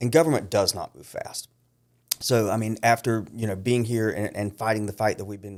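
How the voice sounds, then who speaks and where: A man uses a normal speaking voice, fairly low in pitch, at a fairly quick pace. His intonation stays fairly even, and the recording is very clean with a silent background. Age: 50s. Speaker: county councilman running for Congress. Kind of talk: interview.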